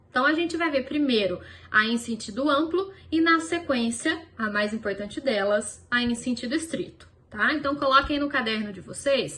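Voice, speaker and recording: A woman's high, raised, projected voice with lively intonation at a moderate pace, in audible room echo. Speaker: law professor. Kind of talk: lecture.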